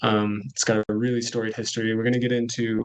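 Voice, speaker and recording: A man's monotone, flat delivery with a Californian accent. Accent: American (Californian). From California, US. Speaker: coffee cooperative manager. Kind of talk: webinar presentation.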